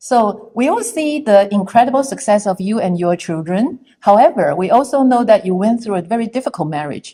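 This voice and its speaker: A woman's unremarkable speaking voice, fairly high in pitch, with lively intonation, a fairly quick pace and hardly any pauses. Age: 60s. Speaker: social media influencer. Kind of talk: interview.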